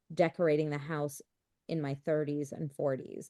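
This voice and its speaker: A woman with an American accent at a moderate pace. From US Midwest, Chicago. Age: 30s. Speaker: real estate investor. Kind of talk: podcast interview.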